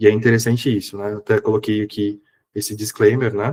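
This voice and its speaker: Somewhat breathy and monotone, a man's flat voice comes through with a dry, close sound and no echo. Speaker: psychologist and professor giving a seminar. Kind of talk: online lecture. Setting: online seminar. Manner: casual, conversational.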